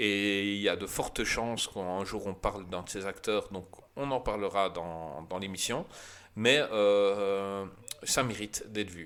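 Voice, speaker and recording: Words come from a man very slowly. His voice sits fairly low. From Belgium. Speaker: film podcast host. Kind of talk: casual chat. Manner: animated.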